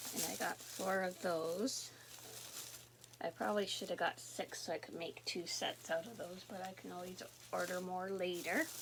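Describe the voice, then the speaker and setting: Noticeable background noise sits behind a woman speaking in a Canadian accent at a medium pitch. Her tone is relaxed, her intonation fairly even, and her pace moderate. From Canada, southern Ontario. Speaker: knitting and crochet vlogger. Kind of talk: casual chat. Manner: relaxed, chatty.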